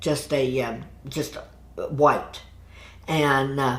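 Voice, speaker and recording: The voice belongs to a woman. Her words carry audible echo from the room. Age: 70s. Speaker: massage therapist. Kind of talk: interview. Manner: halting.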